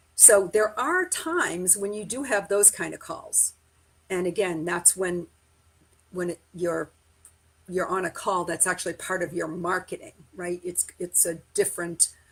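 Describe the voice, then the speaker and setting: A woman with a normal speaking voice at medium pitch, fairly slow and fairly even in intonation. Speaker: sales trainer. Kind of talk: live-streamed training. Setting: live stream.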